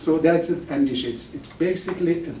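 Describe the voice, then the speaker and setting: A man with an Iranian accent speaks at a fairly quick pace and a fairly high pitch. The recording has audible room echo and noticeable background noise. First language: Farsi. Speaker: professor. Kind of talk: lecture. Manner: halting, with many restarts.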